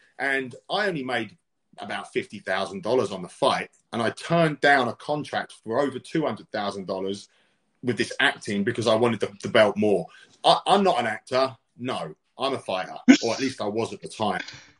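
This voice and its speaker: A man with a British accent talks at a fairly quick pace with lively intonation. The sound is dry and close, with no echo. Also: medium pitch for a man. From UK. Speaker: fight promotion CEO and former fighter. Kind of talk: interview.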